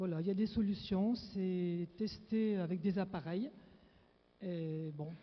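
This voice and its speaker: This woman speaks at a very slow pace, with long, frequent pauses. Her pitch variation is ordinary. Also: medium pitch for a woman. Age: 60s. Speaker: audience member asking question. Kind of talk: audience question. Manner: halting.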